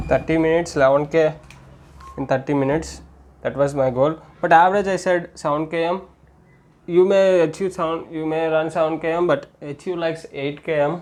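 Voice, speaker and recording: A man with an Indian accent speaks at a fairly quick pace, his intonation fairly even. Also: fairly high pitch for a man. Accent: Indian English (Telugu). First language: Telugu. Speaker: amateur runner and fitness vlogger. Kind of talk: solo tutorial vlog. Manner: halting, with repetitions and self-corrections.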